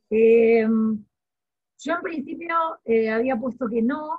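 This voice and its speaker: The pitch varies in an ordinary way as the words come fairly slowly over a quiet background. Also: woman. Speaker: law student. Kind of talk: online class discussion. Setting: video call. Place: home room. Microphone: very bad internet connection; video call.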